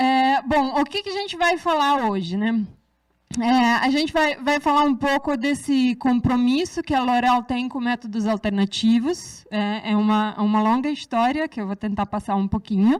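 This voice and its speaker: Recorded very cleanly against a silent background, a woman speaks in a high pitch with lively intonation. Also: moderate pace. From Serbia. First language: Serbian (speaking Portuguese). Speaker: researcher. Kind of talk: lecture. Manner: hesitant, many fillers.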